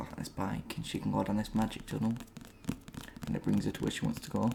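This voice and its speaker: A man rattles off his words very quickly while noticeable noise fills the background. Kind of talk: ASMR book haul talk to camera. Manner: soft-spoken.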